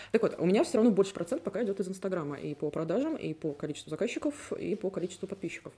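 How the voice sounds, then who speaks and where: Racing at a very fast pace, a woman's voice moves in very wide pitch swings. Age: 30s. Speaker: podcast host. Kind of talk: casual chat.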